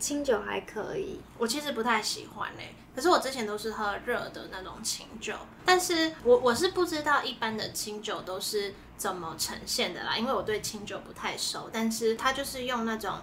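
A woman's fairly high voice with very wide pitch swings, big swings in loudness, hardly any pauses and a moderate pace, amid noticeable background noise and audible room echo. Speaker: food podcast co-host. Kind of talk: casual chat. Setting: in-person recording together.

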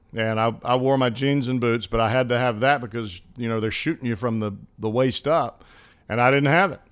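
Speaking at a fairly quick pace, a man with a medium-pitched voice and ordinary pitch variation is heard on a very clean recording with a silent background. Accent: Southern US. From US South, Alabama. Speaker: baseball broadcaster and former player. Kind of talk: casual interview chat.

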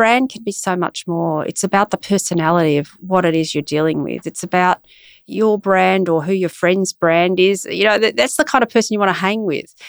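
Using lively intonation, a woman with an Australian accent speaks at a medium pitch. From Australia, Brisbane. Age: 50s. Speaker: arts executive. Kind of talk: interview.

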